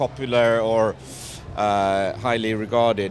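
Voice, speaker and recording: A man speaks with a Swedish accent. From Sweden. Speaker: film director. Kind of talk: red carpet interview. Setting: red carpet premiere. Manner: halting.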